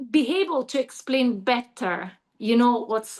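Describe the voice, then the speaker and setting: The speaker talks at a very slow pace with an Italian accent. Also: woman. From Italy. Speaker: yoga teacher. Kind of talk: Q&A in online training call. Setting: video call. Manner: halting.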